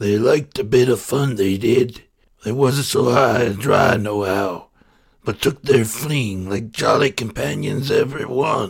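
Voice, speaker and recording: Growling and raspy, a man puts on a character voice at a medium pitch and a moderate pace. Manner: growling, impatient.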